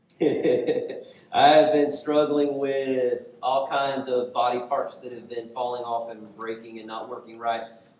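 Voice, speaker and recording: Audible room echo surrounds a man's voice. He speaks at a fairly slow pace in a monotone, flat way. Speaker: pastor. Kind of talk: sermon. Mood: light, joking. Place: church.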